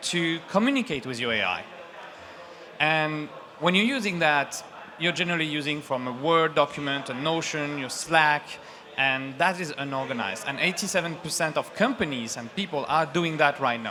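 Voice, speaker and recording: A man talks at a moderate pace with a fairly high pitch and ordinary pitch variation. Noticeable background noise is audible. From France. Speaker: startup founder. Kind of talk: sales pitch.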